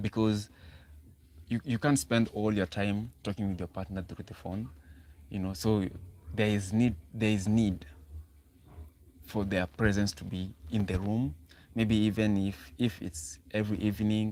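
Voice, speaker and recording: Speaking with a Kenyan accent, a man uses a fairly low pitch and a dark, mellow tone at a fairly slow pace, with ordinary pitch variation and long, frequent pauses. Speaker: relationship talk livestreamer. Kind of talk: live stream talk. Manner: halting.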